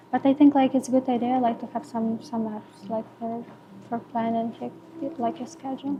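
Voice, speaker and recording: A woman with a Ukrainian accent speaks at a moderate pace and high pitch, with fairly even intonation. Her loudness swings widely over noticeable background noise. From Ukraine. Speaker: permanent makeup artist. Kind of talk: podcast interview. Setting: podcast recording. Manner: halting, many fillers.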